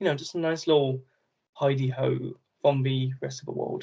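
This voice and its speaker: Against a quiet background, a man with a fairly high pitch speaks at a fairly quick pace in a somewhat breathy voice. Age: 20s. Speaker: travel adventurer and YouTuber. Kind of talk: casual chat.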